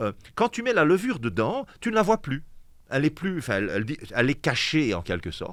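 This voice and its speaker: A fairly high-pitched man's voice with a slight Liège accent, vocal fry, very wide pitch swings, a fairly quick pace and long, frequent pauses. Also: very clean recording, silent background. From Belgium, Liège. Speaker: pastor. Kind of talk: casual chat. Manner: animated.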